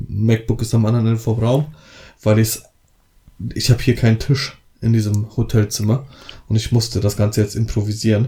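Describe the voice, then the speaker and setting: At a moderate pace, a man speaks in a medium pitch with a dark, mellow, somewhat breathy tone and monotone, flat intonation. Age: 30s. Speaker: wedding photographer and podcast co-host. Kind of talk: casual chat.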